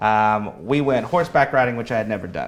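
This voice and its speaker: With a Midwestern American accent, a man talks at a fairly quick pace and a fairly low pitch. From US Midwest, Kansas City area. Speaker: politics staffer. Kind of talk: interview.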